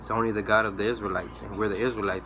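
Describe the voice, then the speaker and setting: Noticeable background noise runs under this recording. The man speaks fairly quickly in a fairly low voice. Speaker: religious video preacher. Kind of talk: bible teaching monologue. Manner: fast; repetitive, stammering.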